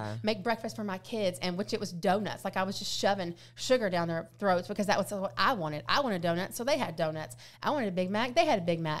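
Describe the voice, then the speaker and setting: A woman speaks very fast at a medium pitch, with lively intonation and vocal fry. The recording is very clean, with a silent background. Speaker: weight loss influencer. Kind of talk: casual chat. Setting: studio. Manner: loud.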